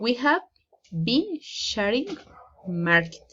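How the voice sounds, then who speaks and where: A woman speaks very slowly at a fairly high pitch. Her voice moves through very wide pitch swings. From Colombia. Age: 30s. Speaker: student. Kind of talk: oral presentation. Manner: halting.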